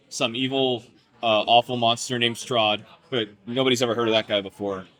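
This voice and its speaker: Noticeable background noise sits behind the man's monotone, flat intonation. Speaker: tabletop game player. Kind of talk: casual chat. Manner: halting.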